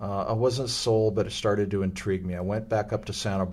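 A man with an American accent, fairly low-pitched, fairly quick, with fairly even intonation. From US West Coast, Los Angeles. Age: 60s. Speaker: former pro basketball player and youth club leader. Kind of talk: interview conversation.

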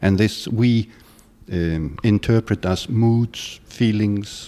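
A man speaks in a fairly low pitch with fairly even intonation. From Iceland. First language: Icelandic. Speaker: yoga and tantra teacher. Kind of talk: interview.

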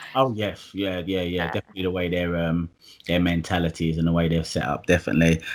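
Very deep and low in pitch, a man rattles along at a very fast pace with fairly even intonation. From Essex, east London. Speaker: property investor and electrician. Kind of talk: casual interview chat.

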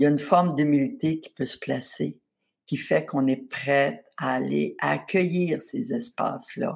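A woman talks at a very slow pace. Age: 70s. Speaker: spa founder and author. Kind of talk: interview.

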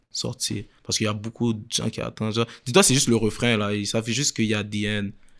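A man talks fairly fast in a monotone, flat intonation. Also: very clean recording, silent background. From Quebec. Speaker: reality web show creator. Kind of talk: casual interview.

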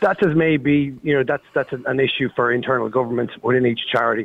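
Someone with an Irish accent talks at a fairly quick pace. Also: man. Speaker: caller. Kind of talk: talk radio phone-in. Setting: phone call. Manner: halting.

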